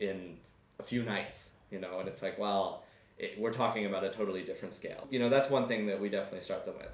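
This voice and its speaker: In an American accent, a man with a fairly low pitch talks at a very fast pace in a flat monotone. Audible room echo is present. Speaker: student and English tutor. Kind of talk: interview. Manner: hesitant, filler-heavy.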